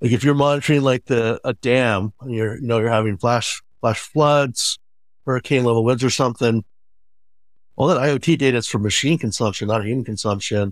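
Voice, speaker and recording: A man with a normal speaking voice, medium pitch and ordinary pitch variation, in a very clean recording with a silent background. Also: fairly quick pace. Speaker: podcast co-host. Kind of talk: interview.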